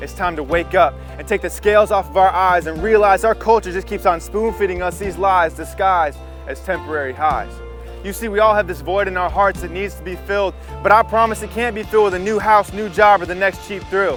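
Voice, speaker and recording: Music plays behind a man who speaks at a fairly quick pace. His loudness swings widely. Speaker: spoken word poet. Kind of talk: spoken word poetry performance.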